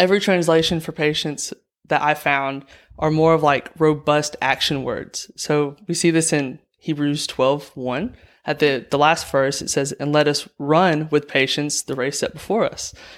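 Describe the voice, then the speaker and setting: On a very clean recording with a silent background, a man with a Southern US accent talks at a fairly slow pace, his fairly high pitch held in fairly even intonation. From Alabama. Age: young. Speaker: nursing student. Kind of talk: casual interview.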